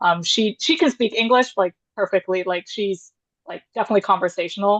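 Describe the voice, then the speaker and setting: With an American accent, the speaker talks very fast in a dry, close sound with no echo. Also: woman. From US. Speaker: panelist. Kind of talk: panel discussion. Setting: video call. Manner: casual, hesitant with many fillers.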